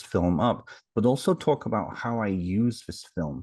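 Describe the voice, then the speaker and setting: A man speaks with a British accent against a quiet background. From England, near Liverpool. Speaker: psychotherapist. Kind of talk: casual chat.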